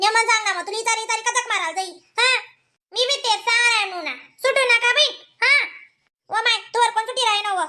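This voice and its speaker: A woman puts on a squeaky, cartoonish character voice at an extremely high pitch with ordinary pitch variation. She speaks at a very fast pace. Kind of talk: rustic comic cartoon banter. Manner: fast, bantering.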